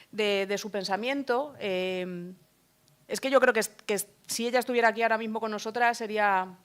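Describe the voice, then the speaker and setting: A woman's fairly high voice, an unremarkable speaking voice with fairly even intonation, on a very clean recording with a silent background. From Madrid, Spain. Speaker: book author. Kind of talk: book presentation talk. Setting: stage with audience.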